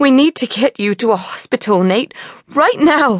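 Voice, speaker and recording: In a put-on character voice, a female-sounding speaker shouts at a high pitch, shaky, at a moderate pace. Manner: near screaming, desperate.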